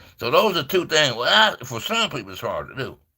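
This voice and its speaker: Speaking at a fairly quick pace, a man has a bright, sharp tone. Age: 60s. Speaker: livestream preacher. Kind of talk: informal livestream sermon. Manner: fast; conversational, repetitive.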